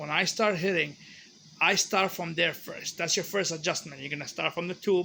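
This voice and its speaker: This voice has a bright, sharp tone and a non-native accent. It moves at a fairly quick pace with ordinary pitch variation. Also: man. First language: not English. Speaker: hobbyist maker. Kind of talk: tutorial. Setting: home garage.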